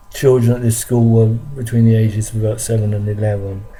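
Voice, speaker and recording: Noticeable background noise accompanies a man whose intonation stays fairly even. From London, England. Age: 60s. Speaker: vlogger recounting childhood memories. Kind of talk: personal testimony monologue. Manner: halting, many fillers and repetitions.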